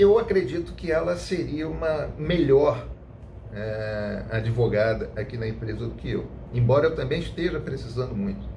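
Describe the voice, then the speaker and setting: Amid audible room echo and noticeable background noise, a man speaks at a moderate pace. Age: 40s. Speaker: lawyer. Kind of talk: personal testimony to camera.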